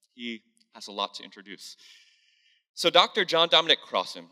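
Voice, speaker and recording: A man talks at a fairly quick pace in a bright, sharp tone. The background is quiet. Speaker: church host. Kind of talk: sermon-style introduction. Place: church. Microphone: handheld.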